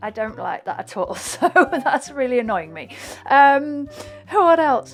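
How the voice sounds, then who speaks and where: Through noticeable background noise, a woman with a Yorkshire accent speaks at a fairly slow pace in a high pitch. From Hull, East Yorkshire, England. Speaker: flute player and YouTuber. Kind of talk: reaction video commentary. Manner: hesitant, many fillers.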